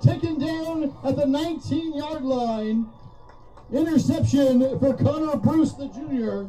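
Over noticeable background noise, a man speaks very slowly at an extremely high pitch with ordinary variation. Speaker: sports commentator. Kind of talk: live sports commentary, play-by-play. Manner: excited, rising on touchdowns and big plays.

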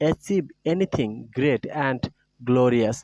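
The man's dark, mellow voice has ordinary pitch variation and a dry, close sound with no echo. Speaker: teacher. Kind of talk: reading aloud.

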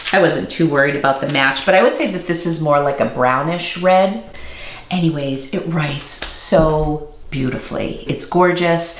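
Speaking at a moderate pace, a woman with a fairly low pitch and ordinary pitch variation is heard over light background noise and audible room echo. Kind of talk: casual vlog chat. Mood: enthusiastic, pleased. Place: home room.

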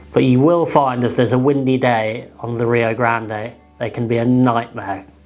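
Faint music plays in the background as a man speaks at a fairly slow pace with ordinary pitch variation. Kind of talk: tutorial. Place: home room.

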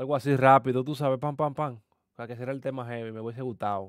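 A man talks at a fairly quick pace with little pitch movement. The recording is very clean with a silent background. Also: medium pitch for a man.

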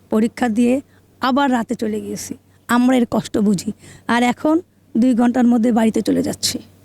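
A woman's high, dark, mellow voice with fairly even intonation and a dry, close sound with no echo. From Bangladesh, Khulna. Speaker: lawyer. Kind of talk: political interview comment.

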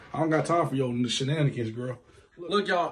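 Here is a man speaking. His tone is animated. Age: 20s. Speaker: YouTube couple vlogger. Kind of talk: prank video banter; channel outro to viewers. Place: home room. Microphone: phone near.

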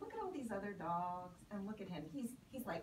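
At a fairly quick pace, a woman talks at a medium pitch with big pitch swings, and audible room echo surrounds her voice.

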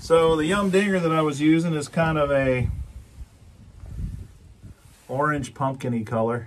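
This is a man speaking with ordinary pitch variation. Light background noise can be heard. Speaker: fishing vlogger. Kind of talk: casual tutorial vlog chat. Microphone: phone near.

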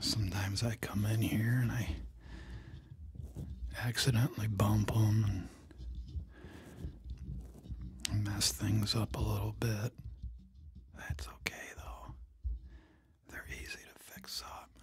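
A soft-spoken man talks at a very slow pace with long, frequent pauses and big swings in loudness, the sound dry with no echo despite noticeable background noise. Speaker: ASMR creator. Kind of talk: soft-spoken ASMR chat. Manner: soft-spoken, hushed ASMR voice. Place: home room. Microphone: studio mic.

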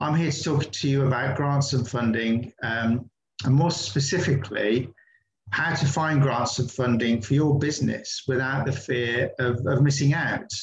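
A man speaks at a moderate pace with fairly even intonation and a somewhat breathy voice. Light background noise and audible room echo surround him. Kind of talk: online presentation talk. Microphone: video call.

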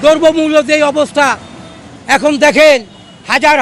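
Noticeable background noise surrounds a man whose pitch is extremely high. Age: 70s. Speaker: freedom fighter veteran and rickshaw puller. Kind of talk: street interview complaint. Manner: animated.

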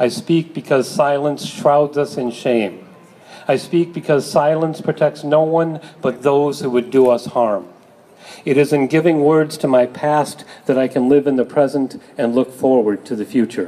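A man speaking at a moderate pace with ordinary pitch variation. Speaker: speaker. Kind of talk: public reading at rally. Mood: solemn, earnest. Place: street. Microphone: camera far.

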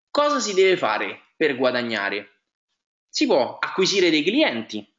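A man speaks at a fairly slow pace with a fairly high pitch. His voice has vocal fry and very wide pitch swings. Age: 20s. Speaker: network marketing presenter. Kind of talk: sales pitch. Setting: webinar. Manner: hesitant, frequent fillers.

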